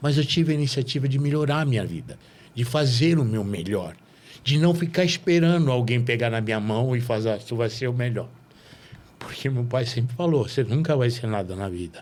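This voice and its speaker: Using a plain, everyday voice, a man talks at a fairly quick pace and a medium pitch with lively intonation. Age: 60s. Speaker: podcast host. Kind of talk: casual interview chat.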